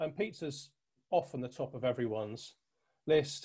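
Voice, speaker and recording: Over a quiet background, the voice is somewhat breathy, with a dark, mellow tone and ordinary pitch variation. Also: man. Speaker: presenter. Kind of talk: presentation. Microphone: webcam.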